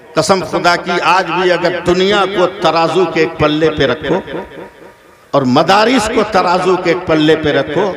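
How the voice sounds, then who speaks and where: A man's high-pitched voice with audible room echo and noticeable background noise. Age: 60s. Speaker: Islamic preacher. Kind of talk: sermon. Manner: animated.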